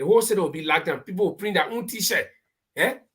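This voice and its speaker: A woman speaks in a somewhat breathy voice. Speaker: political talk show panelist. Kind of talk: live panel discussion. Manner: animated.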